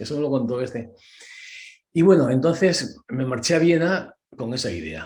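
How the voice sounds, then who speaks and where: This man's tone is dark and mellow. He speaks with lively intonation. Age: 70s. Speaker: concert pianist and accompanist. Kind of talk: interview. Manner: animated.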